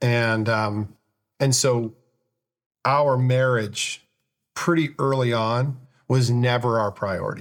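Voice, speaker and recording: A man speaks at a very slow pace, with long, frequent pauses and fairly even intonation. His loudness stays very even on a very clean recording with a silent background. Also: medium pitch for a man. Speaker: recovering alcoholic husband. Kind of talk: testimony. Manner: halting.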